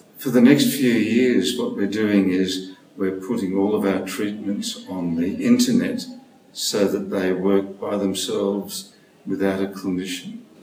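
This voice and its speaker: Very slow male speech amid audible room echo and noticeable background noise. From Australia, Sydney. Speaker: speech pathologist and stuttering researcher. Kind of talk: interview.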